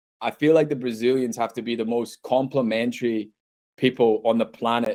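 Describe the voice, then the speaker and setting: A man speaks with a Scottish accent. His dark, mellow voice moves at a fairly quick pace. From Scotland. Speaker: university international recruitment head. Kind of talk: podcast interview. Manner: casual, filler-heavy.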